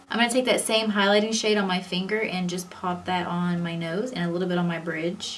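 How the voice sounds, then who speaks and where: Over music in the background and audible room echo, a woman talks at a fairly quick pace with hardly any pauses, medium pitch and fairly even intonation. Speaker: beauty vlogger. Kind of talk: tutorial. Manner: casual and chatty; fast.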